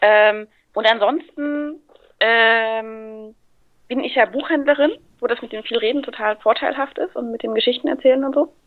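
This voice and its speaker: A woman speaks at a moderate pace with a fairly high pitch. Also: ordinary pitch variation. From Thuringia, Germany. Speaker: guest voice actor and bookseller. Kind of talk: casual chat. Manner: talkative.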